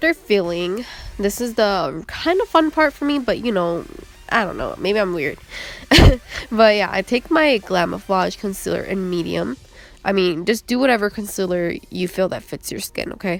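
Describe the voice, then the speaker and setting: Against noticeable background noise, a woman speaks with very wide swings in pitch. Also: medium pitch for a woman, moderate pace. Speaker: makeup artist. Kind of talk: makeup tutorial narration. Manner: casual, chatty.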